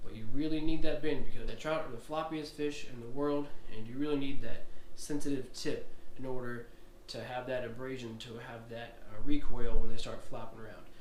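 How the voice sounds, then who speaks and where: With an American accent, a man of medium pitch talks at a fairly quick pace with fairly even intonation and big swings in loudness, over noticeable background noise. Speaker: fishing vlogger. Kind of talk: tutorial. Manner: casual.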